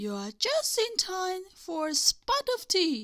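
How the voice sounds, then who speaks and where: A woman speaks very slowly in a squeaky, put-on character voice. Her extremely high pitch swings very widely. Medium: read story. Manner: warm, motherly.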